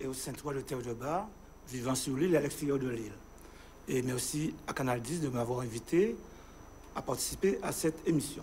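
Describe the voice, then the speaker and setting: There is audible room echo as a man with a medium-pitched voice speaks at a moderate pace, leaving long, frequent pauses. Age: 60s. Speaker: local election candidate, retired school headteacher. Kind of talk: televised political interview.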